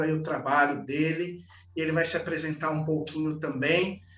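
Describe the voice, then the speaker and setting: Recorded with audible room echo, a man with a fairly high pitch talks at a moderate pace using fairly even intonation. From Brazil, Marília (São Paulo state). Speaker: channel host, interviewer. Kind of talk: interview.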